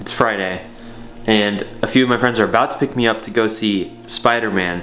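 A man speaks at a moderate pace with a fairly low pitch and a fairly bright tone. His pitch varies in an ordinary way, over faint background noise.

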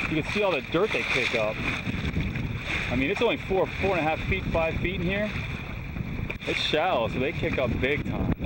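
A man at a moderate pace, loud background noise all around. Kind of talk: casual vlog chat. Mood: relaxed. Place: boat. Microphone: phone near.

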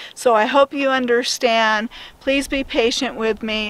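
With light background noise, a woman speaks at a fairly high pitch in a dry sound with no echo. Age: 50s. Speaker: van life vlogger. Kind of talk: casual vlog monologue. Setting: in a camper van. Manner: animated. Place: open country. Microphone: phone near.

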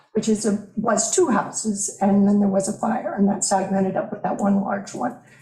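A woman's voice carries audible room echo. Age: 60s. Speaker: property owner applicant. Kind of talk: public testimony at a planning board meeting.

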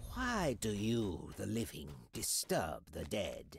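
Someone performs a put-on character voice. The delivery is fairly slow. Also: man, medium pitch for a man. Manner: menacing.

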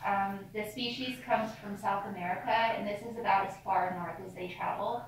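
A woman with ordinary pitch variation, audible room echo and light background noise. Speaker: cave tour guide. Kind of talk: guided tour talk. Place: tunnel cave. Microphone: camera far.

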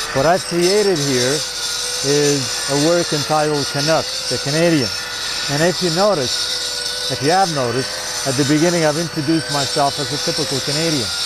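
A man at a moderate pace, in dry sound with no echo, over loud background noise. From Italy. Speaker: stone sculptor. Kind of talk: interview answer. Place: open country.

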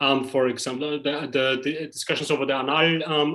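A man speaks at a fairly quick pace with a fairly high pitch and a fairly bright tone. His intonation stays fairly even.

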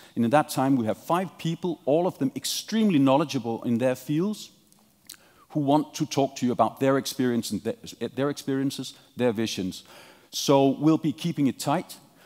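A man talks at a moderate pace, and the background stays quiet. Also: ordinary pitch variation. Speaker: panel moderator. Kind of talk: opening remarks to an audience. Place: hall.

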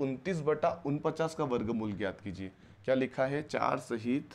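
This man speaks at a fairly slow pace with lively intonation. Vocal fry runs through his voice. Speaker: maths teacher for entrance exam. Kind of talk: lecture. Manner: animated. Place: classroom. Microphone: lapel.

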